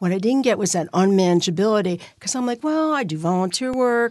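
Talking at a very fast pace, a woman with an American accent uses lively intonation at medium pitch against a quiet background. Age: 60s. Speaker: recovering alcoholic sharing story. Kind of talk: testimony. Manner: animated.

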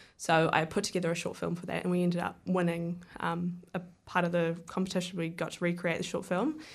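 With a New Zealand accent, the speaker goes at a fairly quick pace with hardly any pauses and a monotone, flat intonation. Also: woman, fairly low pitch for a woman. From New Zealand, Wellington area. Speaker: filmmaker. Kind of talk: radio interview. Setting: radio studio.

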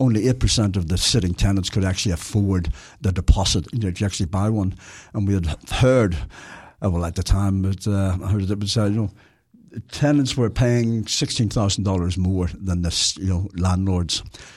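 With a Belfast accent and a somewhat breathy, fairly low voice, a man talks at a fairly quick pace with ordinary pitch variation over a very clean recording and a silent background. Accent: Belfast Northern Irish. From Northern Ireland, Belfast. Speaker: former tenant advocate. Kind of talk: casual radio interview.

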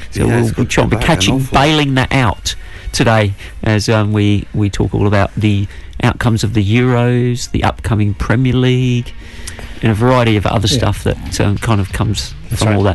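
Over music in the background, a man with a fairly low pitch speaks with ordinary pitch variation and very even loudness. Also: moderate pace. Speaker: radio show co-host.

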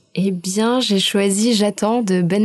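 Noticeable background noise sits behind a woman speaking at a very slow pace with fairly even intonation. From southern France, Aix-en-Provence. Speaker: cultural centre staff, international volunteer. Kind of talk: radio interview.

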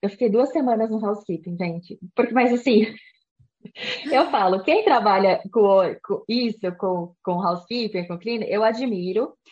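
Somewhat breathy, a woman speaks with fairly high pitch at a moderate pace. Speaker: immigration and study abroad advisor. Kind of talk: interview.

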